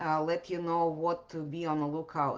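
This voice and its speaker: This is a woman speaking. She has a Russian accent. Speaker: podcast host. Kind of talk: podcast monologue answering questions. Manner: hesitant with many fillers.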